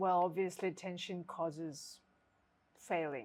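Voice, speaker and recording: On a very clean recording with a silent background, a woman of medium pitch speaks at a fairly slow pace with fairly even intonation. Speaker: qigong teacher. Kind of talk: casual instructional talk.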